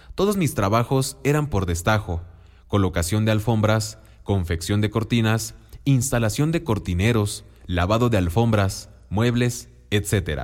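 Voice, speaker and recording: A man with a fairly low pitch and an ordinary speaking voice speaks at a fairly slow pace, keeping his loudness very even while his intonation stays lively. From Mexico, Oaxaca. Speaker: businessman. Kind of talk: scripted narration.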